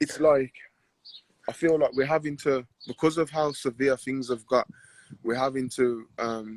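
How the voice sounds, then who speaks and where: A man in a Birmingham accent, medium-pitched with fairly even intonation, moderate pace broken by long, frequent pauses, the sound dry and close with no echo. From Birmingham, England. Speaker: professional boxer. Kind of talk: casual interview chat.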